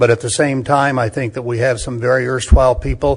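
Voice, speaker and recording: Fairly quick, somewhat breathy delivery with monotone, flat intonation. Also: man. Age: 70s. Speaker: political candidate. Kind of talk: candidate forum statement. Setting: public forum in county commission chambers.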